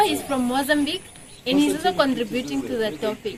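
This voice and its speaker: Through noticeable background noise comes a woman's high-pitched voice at a moderate pace. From Namibia. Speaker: online video host. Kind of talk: group discussion.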